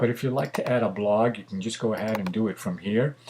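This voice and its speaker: A man at a fairly low pitch with ordinary pitch variation and a fairly quick pace. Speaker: photographer and tutorial maker. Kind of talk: tutorial. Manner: fast; casual with many fillers.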